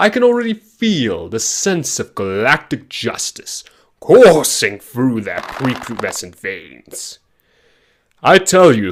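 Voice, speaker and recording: Putting on a character voice, a man speaks at a fairly high pitch with very wide pitch swings. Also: fairly slow pace. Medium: short film. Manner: grandiose, theatrical.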